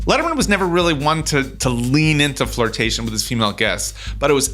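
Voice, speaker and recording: With music playing behind him, a man talks at a very fast pace. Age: 40s. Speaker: podcast host. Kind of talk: interview; scripted narration. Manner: halting.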